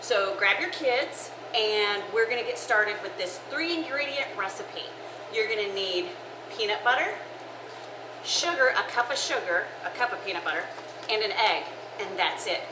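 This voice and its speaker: A woman with a fairly high pitch speaks at a moderate pace with lively intonation and long, frequent pauses. Noticeable background noise and audible room echo are present. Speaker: church women's ministry cooking show host. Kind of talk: casual cooking show chat. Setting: kitchen with oven fans running. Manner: loud; chatty, with fillers.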